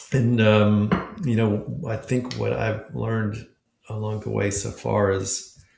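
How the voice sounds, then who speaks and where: A man with an American accent talks in a plain, everyday voice. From Memphis, Tennessee, US South. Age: 60s. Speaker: nonprofit founder and author. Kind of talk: casual chat.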